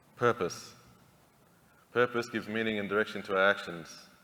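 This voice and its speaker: A bright, sharp tone at a very fast pace, with monotone, flat intonation. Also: man. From Central Australia, Alice Springs. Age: 40s. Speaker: narrative therapist and community leader. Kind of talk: keynote speech. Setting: conference stage with audience.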